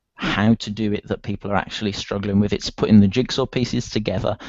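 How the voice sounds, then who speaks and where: This man speaks in a strong British accent at a fairly low pitch. His intonation stays fairly even. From UK. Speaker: online marketer. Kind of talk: interview.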